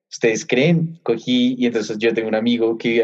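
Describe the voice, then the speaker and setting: Fairly even in intonation, a man of medium pitch talks at a very fast pace. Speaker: sports podcast co-host. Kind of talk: casual chat.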